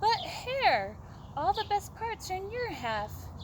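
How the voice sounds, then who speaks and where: A woman uses a put-on character voice at a fairly slow pace. Background noise comes through clearly. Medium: read story. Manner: slow, grumbling.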